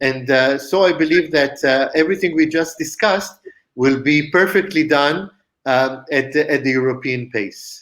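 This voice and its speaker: A man speaks with an Israeli accent at a moderate pace. His pitch is fairly high, with ordinary variation and very even loudness. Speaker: company founder and CEO. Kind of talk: interview. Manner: halting, many fillers.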